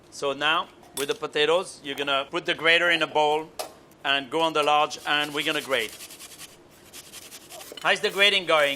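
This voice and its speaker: Amid noticeable background noise, a man with a French accent speaks at a fairly high pitch and a moderate pace, his intonation fairly even and marked by long, frequent pauses. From France. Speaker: chef. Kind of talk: cooking instruction.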